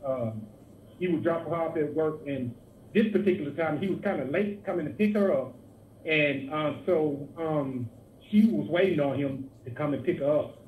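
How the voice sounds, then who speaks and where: This man's voice sits fairly high and moves through ordinary pitch variation. He talks at a moderate pace, and some room echo can be heard. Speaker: online radio show host. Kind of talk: casual chat. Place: studio.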